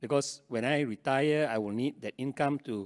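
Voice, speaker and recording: A man with ordinary pitch variation, dry, close sound with no echo, very clean recording and silent background. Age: 60s. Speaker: investment strategist. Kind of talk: panel discussion.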